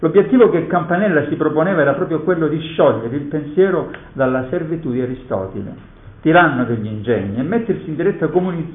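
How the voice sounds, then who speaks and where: At a fairly quick pace, a man talks in a plain, everyday voice with a fairly high pitch and lively intonation. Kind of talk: poet reading verse aloud in a lecture. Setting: conference hall. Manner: measured, solemn, declamatory reading of sonnet verse; formal, reflective.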